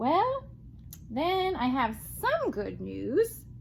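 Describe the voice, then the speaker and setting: A woman performs in a put-on character voice. Background noise is clearly present. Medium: read story. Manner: calm, matter-of-fact.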